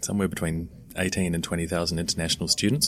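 With a New Zealand accent, a man talks in a very deep, low voice. His intonation is flat and monotone. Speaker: education company founder. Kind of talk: interview.

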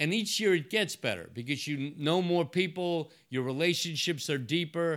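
In a very clean recording with a silent background, a man with an American accent and a plain, everyday voice speaks at a moderate pace with a fairly high pitch and ordinary pitch variation. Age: 60s. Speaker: investment banker. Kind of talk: interview conversation. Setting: his office.

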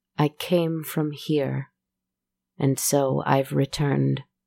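In a put-on character voice, someone speaks quietly and very slowly at a low-to-middle pitch on a very clean recording with a silent background. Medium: read story. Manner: quiet, sorrowful.

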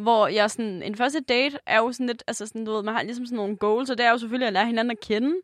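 A woman talks very fast at a fairly high pitch with ordinary pitch variation, the sound dry and close with no echo. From Jutland, Denmark. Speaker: podcast co-host. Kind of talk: casual chat.

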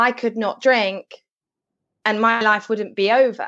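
A woman at a fairly high pitch and fairly slow pace. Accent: English. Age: 20s. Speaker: sobriety and well-being blogger. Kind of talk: interview.

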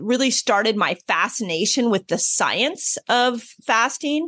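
In a quiet background, a woman talks at a fairly slow pace with lively intonation and an ordinary speaking voice. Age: 50s. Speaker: health author and fasting expert. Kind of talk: interview.

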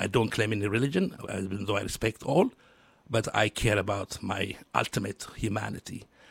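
At a moderate pace, a man speaks with medium pitch and ordinary pitch variation, sounding somewhat breathy. The sound is dry and close, with no echo. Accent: Ethiopian. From Ethiopia, Addis Ababa. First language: Amharic. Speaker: social entrepreneur and community leader. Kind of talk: radio interview. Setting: radio studio. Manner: halting.

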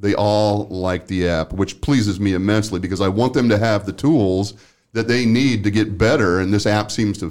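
A man speaks at a moderate pace in a fairly low pitch, with ordinary pitch variation. His is an unremarkable speaking voice. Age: 60s. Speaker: workplace safety consultant and podcast host. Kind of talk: casual interview.

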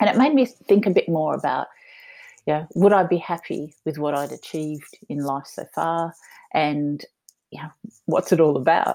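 An Australian-accented woman speaks at a moderate pace in a very deep, low voice with a dark, mellow tone and ordinary pitch variation. Her loudness swings widely, and she makes long, frequent pauses. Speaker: entrepreneur. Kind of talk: interview.

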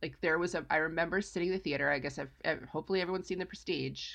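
Against a quiet background, a woman talks with vocal fry at a fairly low pitch and ordinary pitch variation. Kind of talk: casual chat. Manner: snarky, joking.

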